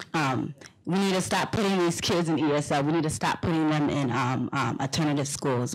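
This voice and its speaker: Fairly quick speech in a Liberian accent. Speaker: panelist. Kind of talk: panel discussion.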